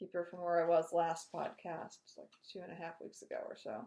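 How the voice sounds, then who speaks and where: A woman mumbles in a dark, mellow tone. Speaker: knitting podcaster. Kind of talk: casual chat. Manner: mumbling.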